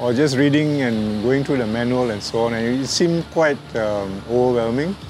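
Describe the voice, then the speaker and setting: A man with a medium pitch and ordinary pitch variation talks at a moderate pace as noticeable background noise plays. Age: 60s. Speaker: drone hobbyist. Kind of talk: interview. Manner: hesitant with fillers.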